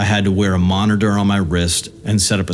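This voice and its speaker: Music plays in the background. The speech moves at a fairly quick pace with ordinary pitch variation. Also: man. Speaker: horror story narrator. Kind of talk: horror story narration.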